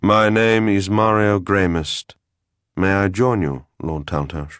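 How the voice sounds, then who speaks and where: A man puts on a character voice, speaking fairly slowly in a calm tone at a fairly low pitch. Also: ordinary pitch variation. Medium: read story. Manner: calm, courteous.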